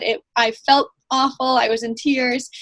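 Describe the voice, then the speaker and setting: A woman speaks in a high pitch with flat, monotone intonation. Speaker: fitness coach. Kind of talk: team call presentation. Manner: fast.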